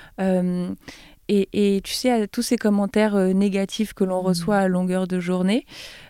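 In a very clean recording with a silent background and a dry, close sound with no echo, a woman with a dark, mellow tone speaks at a fairly slow pace. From France, Troyes. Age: 20s. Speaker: YouTuber and business student. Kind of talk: interview.

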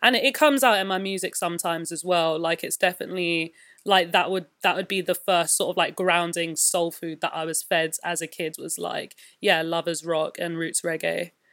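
A woman with a London accent, fairly low-pitched, talking at a fairly quick pace with fairly even intonation, on a very clean recording with a silent background. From West London. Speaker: musician and visual artist. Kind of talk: interview.

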